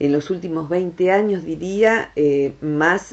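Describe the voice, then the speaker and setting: A woman speaks with an Argentine accent at a fairly slow pace, her pitch fairly low. Her tone is warm, and her pitch varies in an ordinary way. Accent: Argentine Rioplatense. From Argentina. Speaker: psychologist, director of a transpersonal psychology center. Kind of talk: radio talk, educational explanation about the brain. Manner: warm, friendly, conversational. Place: studio.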